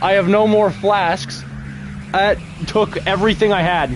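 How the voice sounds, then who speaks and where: A man with a high voice at a moderate pace, music playing in the background. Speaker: gaming streamer. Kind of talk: live gameplay commentary. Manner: animated; soft-spoken.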